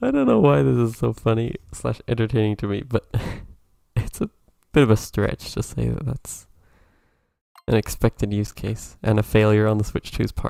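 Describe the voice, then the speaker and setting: The soft-spoken voice moves at a moderate pace with ordinary pitch variation and long, frequent pauses, in a dry, close sound with no echo. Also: man, fairly low pitch for a man. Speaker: video game streamer. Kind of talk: casual live stream commentary.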